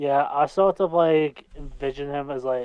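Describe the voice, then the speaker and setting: Speaking at a fairly slow pace in a Scottish accent, a man with a fairly high pitch keeps his intonation fairly even. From Scotland. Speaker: amateur voice actor. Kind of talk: casual interview. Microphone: mic cutting out.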